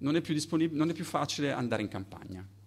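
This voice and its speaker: A man is speaking. His intonation is lively. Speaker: artist; guest. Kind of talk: lecture. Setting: stage with audience. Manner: mumbling. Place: hall. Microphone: studio mic.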